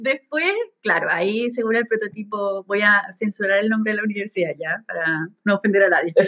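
A woman with a Chilean accent, medium-pitched, at a fairly quick pace with ordinary pitch variation. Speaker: podcast co-host. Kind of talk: casual chat.

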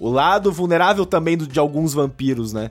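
Here is an ordinary speaking voice: a man talking at a fairly quick pace with ordinary pitch variation on a very clean recording with a silent background. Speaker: guest podcaster. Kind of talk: casual chat.

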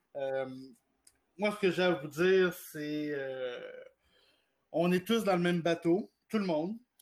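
At a very slow pace, a man with a high pitch talks with ordinary pitch variation. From Quebec, Gatineau. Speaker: director of an LGBT advocacy organization. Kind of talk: radio interview.

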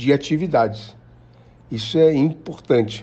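The man speaks with lively intonation. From Rio de Janeiro, Brazil. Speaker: actor and director. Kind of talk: interview.

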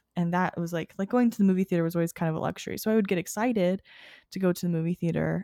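A woman's fairly low, dark and mellow voice keeps a fairly even intonation, recorded very cleanly with a silent background and a dry, close sound with no echo. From small rural town. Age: 20s. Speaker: graduate student and daycare worker. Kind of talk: casual chat.

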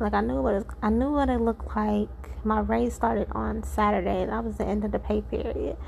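A woman speaks at a moderate pace with medium pitch and vocal fry. Her intonation stays fairly even.

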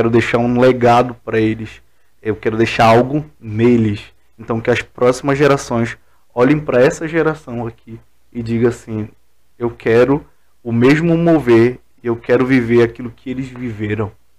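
A man with a medium pitch talks at a moderate pace in fairly even intonation, an ordinary speaking voice. The recording is very clean, with a silent background. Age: 20s. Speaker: pastor. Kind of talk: casual chat.

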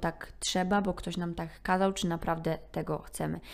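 A woman's fairly low voice comes through on a very clean recording, the background silent. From Poland. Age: 20s. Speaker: podcaster. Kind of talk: solo monologue podcast.

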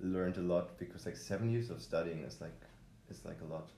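A man's very deep, low voice with a German accent, dark and mellow in tone, with audible room echo. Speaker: podcast host. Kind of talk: solo podcast intro; casual chat. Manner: hesitant, many fillers.

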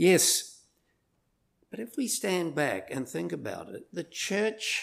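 Very wide pitch swings and vocal fry, in a New Zealand accent. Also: man. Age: old. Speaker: visiting preacher. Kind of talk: sermon. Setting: church.

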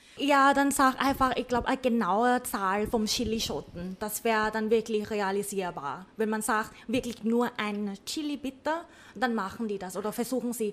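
The speaker has a Thai accent and a moderate pace. Pitch variation is ordinary. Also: woman, fairly high pitch for a woman. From Thailand, Bangkok. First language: Thai (speaking German). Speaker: cook. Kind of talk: casual chat. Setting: cooking studio.

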